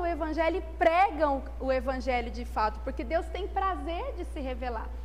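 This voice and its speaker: A woman speaks over noticeable background noise, with audible echo from the room. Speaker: church Bible class teacher. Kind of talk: Bible class lesson. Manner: animated.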